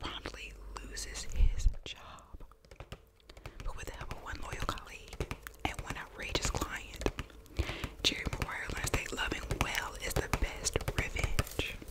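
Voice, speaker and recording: Whispered speech comes at a fairly slow pace with long, frequent pauses and big swings in loudness. Noticeable background noise runs underneath. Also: woman. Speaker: ASMR creator. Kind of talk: ASMR video, casual talk to camera about VHS movies. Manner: whispered, soft-spoken.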